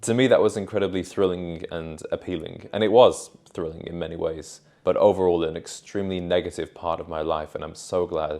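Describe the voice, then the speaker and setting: A man's very deep, low voice with a dark, mellow tone and a British accent. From Britain. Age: 20s. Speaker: men's style and self-improvement youtuber. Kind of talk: unscripted personal vlog. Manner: casual, conversational.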